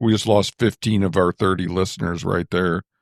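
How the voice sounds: A man speaks at a moderate pace with a low pitch and fairly even intonation. The sound is dry and close, with no echo.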